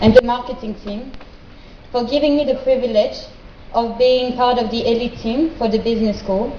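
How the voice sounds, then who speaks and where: A woman with a French accent speaks at a high pitch and a moderate pace, with fairly even intonation. Noticeable background noise and audible room echo fill the recording. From France. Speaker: graduate student. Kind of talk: speech. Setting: stage with audience. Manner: formal.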